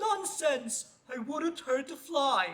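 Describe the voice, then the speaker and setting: A put-on character voice pitched high. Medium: read story. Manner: drawling, unhurried.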